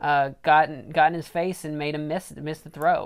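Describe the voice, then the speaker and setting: Using an ordinary speaking voice, a woman with a fairly low pitch talks at a moderate pace. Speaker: podcast host. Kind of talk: casual banter.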